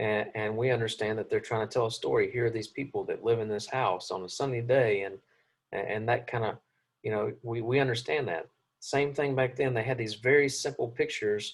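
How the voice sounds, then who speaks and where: A man talks at a fairly quick pace with a medium pitch and fairly even intonation. His voice sounds somewhat breathy. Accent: Southern US. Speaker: Bible class teacher. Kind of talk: lecture. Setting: classroom.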